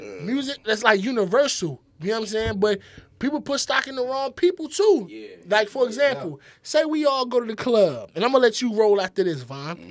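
A man speaks at a high pitch with very wide pitch swings. His loudness swings widely too. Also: fairly quick pace. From US inner city, DC area. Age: 30s. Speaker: podcast host. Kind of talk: casual chat. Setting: studio.

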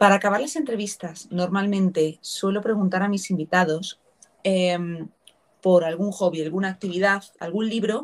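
A woman speaks in a normal speaking voice at a moderate pace, with a medium pitch and ordinary pitch variation. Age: 30s. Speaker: podcast host. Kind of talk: interview.

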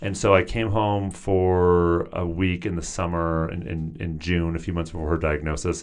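Against a quiet background, a man talks with a very deep, low pitch and ordinary pitch variation. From US Pacific Northwest. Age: 30s. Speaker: therapist and author. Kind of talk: interview.

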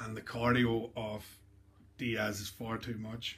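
In an Irish accent, a man is talking. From Ireland. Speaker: podcast host. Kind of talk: casual interview chat.

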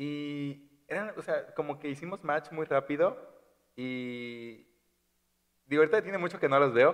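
A man with a fairly high pitch speaks at a fairly slow pace, with ordinary pitch variation and big swings in loudness. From Chiapas, Mexico (Tuxtla). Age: 20s. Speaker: podcast guest. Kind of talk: casual chat.

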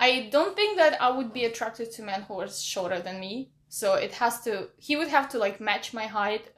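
A woman's fairly high voice at a moderate pace with hardly any pauses, lively intonation and big swings in loudness, over noticeable background noise. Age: 30s. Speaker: podcast guest setting up a dating profile. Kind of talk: casual chat.

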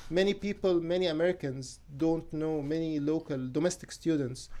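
This man talks at a fairly slow pace with an Arabic accent. His intonation stays fairly even. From Egypt. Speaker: photographer and graduate student. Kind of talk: radio interview. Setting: radio studio.

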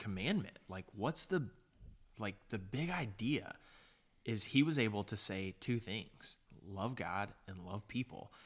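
A fairly low-pitched man at a fairly slow pace, with lively intonation. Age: 30s. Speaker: podcast co-host. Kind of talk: casual chat.

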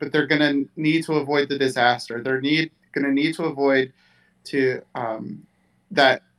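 A man at a fairly high pitch and fairly slow pace, with fairly even intonation. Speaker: sports writer and podcast panelist. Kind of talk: casual sports analysis chat.

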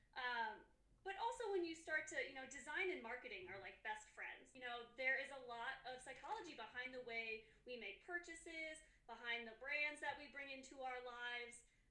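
A woman with an American accent talks in a high, raised, projected voice at a moderate pace, with lively intonation and big swings in loudness. Room echo is audible. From US Midwest, Chicago area. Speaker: graphic designer. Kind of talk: interview.

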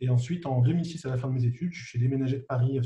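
A man's somewhat breathy voice at medium pitch, dark and mellow in tone, at a fairly quick pace. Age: 40s. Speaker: business angel investor. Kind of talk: interview.

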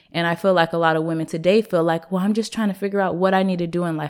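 An American accent at a very fast pace, with fairly even intonation on a very clean recording with a silent background. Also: woman. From US Pacific Northwest, Seattle. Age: 20s. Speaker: entrepreneur, clothing line owner. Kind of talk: casual interview.

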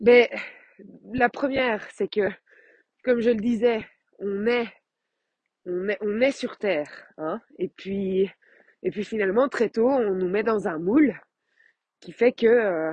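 A woman with a fairly high pitch and ordinary pitch variation at a very slow pace, with long, frequent pauses, in a dry, close sound with no echo and a quiet background. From Belgium. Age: 30s. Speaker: life coach. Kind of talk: podcast monologue. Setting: outdoors while walking. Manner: hesitant with many fillers.

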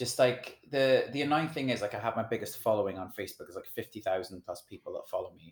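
Talking at a very fast pace with hardly any pauses, a man with an American accent swings widely in loudness. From Wales. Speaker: singer-songwriter and DJ. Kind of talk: casual chat.

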